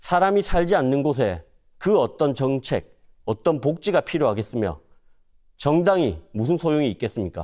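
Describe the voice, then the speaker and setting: A man's fairly high voice with a dark, mellow tone and very wide pitch swings, at a moderate pace against a quiet background. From South Korea, North Gyeongsang (Cheongsong); North Gyeongsang, South Korea. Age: 30s. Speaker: parliamentary candidate; candidate. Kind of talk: campaign speech. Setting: studio. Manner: formal. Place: studio.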